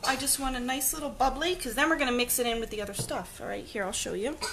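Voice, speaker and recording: With an American accent, a woman speaks very fast in a high pitch, her tone animated and her intonation lively, over noticeable background noise and audible room echo. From New Jersey. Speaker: home cooking live streamer. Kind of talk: live cooking stream chat. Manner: chatty, animated.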